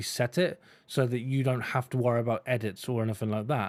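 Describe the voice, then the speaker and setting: A man is speaking. His pace is fairly quick. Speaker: tech reviewer. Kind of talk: product review. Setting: home recording setup. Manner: expressive inflection. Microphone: condenser studio mic.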